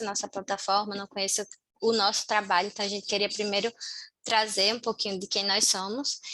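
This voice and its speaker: The voice belongs to a woman with a fairly high pitch. Its tone is bright and sharp. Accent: northeastern Brazilian. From Brazil, Natal, Rio Grande do Norte. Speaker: community team member of a volunteering platform. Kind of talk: online meeting presentation. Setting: video call.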